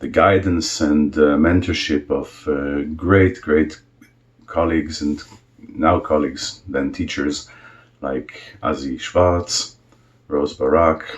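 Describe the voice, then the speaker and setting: A man speaks at a very slow pace with fairly even intonation. His pitch is very deep and low. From Israel. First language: Hebrew. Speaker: cantor. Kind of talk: self-introduction video. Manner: hesitant, with many fillers.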